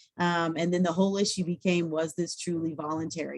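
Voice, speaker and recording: A woman with a fairly low pitch speaks at a very fast pace. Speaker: employment lawyer. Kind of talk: webinar presentation.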